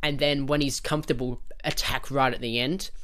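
With an Australian accent, a man speaks in a passionate tone at a fairly high pitch. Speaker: podcast host. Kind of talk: unscripted solo rant about cricket. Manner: rambling, passionate.

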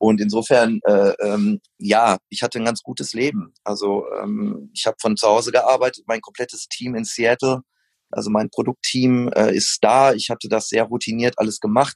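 Spoken at a moderate pace with fairly even intonation, this is an unremarkable speaking voice. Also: man, medium pitch for a man. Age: 40s. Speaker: running shoe company founder. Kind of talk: casual interview.

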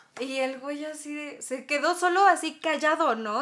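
Over noticeable background noise, a woman with a Mexican accent speaks in a high pitch. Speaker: podcast host. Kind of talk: casual chat.

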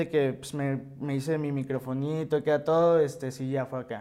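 A man's tone is dark and mellow, delivered in a monotone, flat intonation. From Mexico, Hermosillo, Sonora. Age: 20s. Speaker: rapper and music producer. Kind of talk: interview, casual chat.

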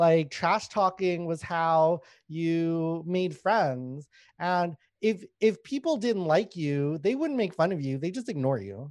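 Over a silent background in a very clean recording, a man speaks at a very slow pace in a high pitch with lively intonation. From Canada, Winnipeg (born in Thailand to Lao refugee family). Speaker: stand-up comedian. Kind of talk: casual interview chat.

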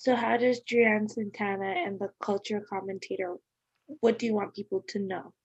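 A woman with an unremarkable speaking voice and medium pitch talks at a moderate pace with fairly even intonation, in a dry, close sound with no echo and a quiet background. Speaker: podcast host. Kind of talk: casual interview.

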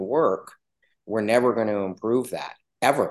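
A man talks at a moderate pace in a medium pitch with ordinary pitch variation, against a quiet background. He has a normal speaking voice. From western Canada (Yukon, British Columbia). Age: 40s. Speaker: rancher and farmer. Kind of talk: casual interview.

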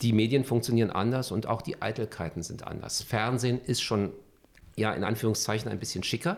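Here is a man with a plain, everyday voice. He talks fairly quickly at a medium pitch. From Berlin (Charlottenburg, West Berlin). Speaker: journalist and TV news anchor. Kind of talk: interview.

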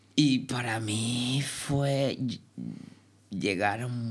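Speaking with a Cuban accent and fairly even intonation, a woman is heard with audible room echo. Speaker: dancer. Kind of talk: interview.

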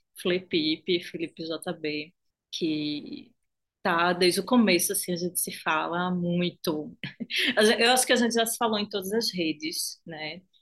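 A woman with a fairly low pitch talks at a fairly slow pace, and her pitch varies in an ordinary way. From Recife, Brazilian Northeast. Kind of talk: casual chat.

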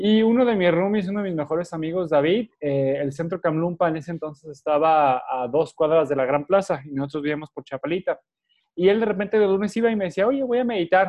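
Using lively intonation, a man with a high voice talks at a fairly quick pace. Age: 30s. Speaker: meditation teacher. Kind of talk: interview.

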